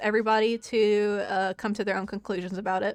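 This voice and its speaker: Over music in the background, a woman with an American accent talks at a very fast pace. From Florida. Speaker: streamer. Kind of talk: casual chat. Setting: live stream.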